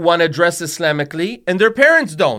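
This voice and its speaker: A man with a high voice speaks with lively intonation on a very clean recording with a silent background. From Tunisia. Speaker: Islamic scholar. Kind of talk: religious discussion. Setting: studio.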